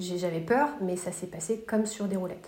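Noticeable background noise and audible room echo around a woman's medium pitch at a moderate pace. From France, Paris area. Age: 30s. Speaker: blogger and illustrator. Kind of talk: casual interview chat. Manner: talkative.

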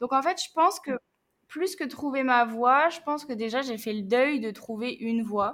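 Speaking fairly slowly, a woman with a high pitch shows ordinary pitch variation. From northern France, Picardy. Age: 20s. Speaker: traveller and volunteer. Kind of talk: casual interview.

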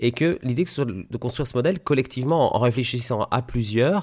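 The speaker is a man with a normal speaking voice at a medium pitch. He keeps a moderate pace and ordinary pitch variation. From Belgium, Liège. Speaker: osteopath. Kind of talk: interview.

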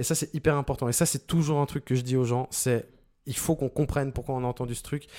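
A man rattles off words at a very fast pace in a dark, mellow tone of medium pitch with monotone, flat intonation, on a very clean recording with a silent background. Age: 40s. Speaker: sound designer. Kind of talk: interview. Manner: clear, well-placed on the mic.

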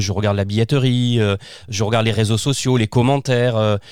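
At a moderate pace, a man speaks in an ordinary speaking voice with medium pitch and fairly even intonation. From southern France, Provence (Arles area). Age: 40s. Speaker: children's author and performer. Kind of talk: casual interview. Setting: remote recording from his own studio.

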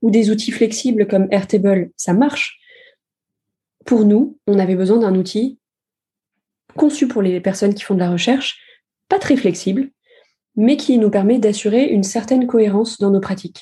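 Woman's somewhat breathy voice, fairly high in pitch yet dark and mellow in tone, with ordinary pitch variation, a moderate pace and long, frequent pauses. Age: 20s. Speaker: user researcher. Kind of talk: casual interview.

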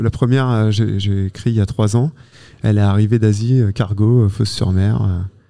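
Dark and mellow in tone, this man's voice sits at a medium pitch and shows ordinary pitch variation. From Normandy, France. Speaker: entomologist and author. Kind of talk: interview. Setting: mobile studio at a festival. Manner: halting, many repetitions and hesitations.

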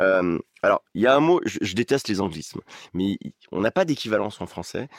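Captured in a very clean recording with a silent background and a dry, close sound without echo, a man with an ordinary speaking voice talks at a moderate pace with lively intonation. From eastern France, Ain (Oyonnax). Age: 50s. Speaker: radio host and stadium announcer. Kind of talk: casual chat.

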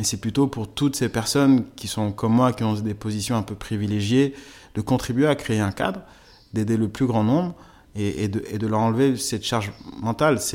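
Medium pitch from a man, ordinary pitch variation, a moderate pace, and a very clean recording with a silent background. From Togo. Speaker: sports development manager. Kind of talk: personal testimony. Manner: halting, frequent repetitions.

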